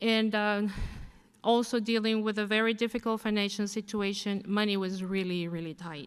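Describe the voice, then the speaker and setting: A non-native accent at a moderate pace, with fairly even intonation. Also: woman, medium pitch for a woman. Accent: foreign. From abroad, immigrant to the US. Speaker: graduating student. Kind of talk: commencement speech. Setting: podium at graduation ceremony.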